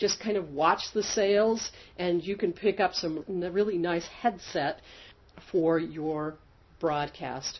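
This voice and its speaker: Pitched fairly low, a woman speaks at a very slow pace. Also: ordinary pitch variation. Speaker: online business educator. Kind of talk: tutorial.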